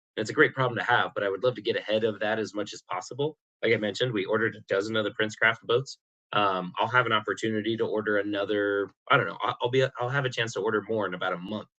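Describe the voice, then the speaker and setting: This man's voice sits fairly low in pitch and has a bright, sharp tone as he talks very fast. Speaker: electric boat dealer and podcast host. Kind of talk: casual podcast monologue. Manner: many fillers, repetitions.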